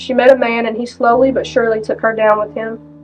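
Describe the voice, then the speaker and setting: A woman's high-pitched, monotone voice with flat intonation at a very fast pace, with music in the background. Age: 20s. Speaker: recovering addict. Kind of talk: testimony.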